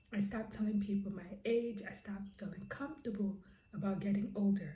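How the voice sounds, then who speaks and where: A woman speaks in a dark, mellow, somewhat breathy tone at medium pitch with monotone, flat intonation. Room echo can be heard. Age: 40s. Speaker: lifestyle and crochet vlogger. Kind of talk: personal vlog monologue.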